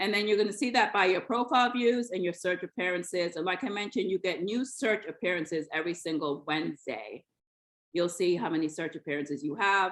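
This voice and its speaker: Very fast and full of lively intonation, a woman speaks at a medium pitch. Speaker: LinkedIn coach. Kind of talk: online workshop.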